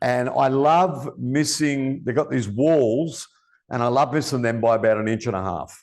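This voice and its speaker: This man has a medium pitch and an animated tone. He talks at a moderate pace with ordinary pitch variation. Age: 60s. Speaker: podcast host. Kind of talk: casual chat.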